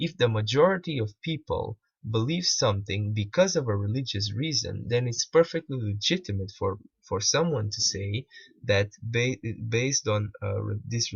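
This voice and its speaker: A somewhat breathy man with a Portuguese accent, medium pitch, lively intonation and a moderate pace. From Portugal. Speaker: video critic / commentator. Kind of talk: commentary on a played video. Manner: halting, many repetitions.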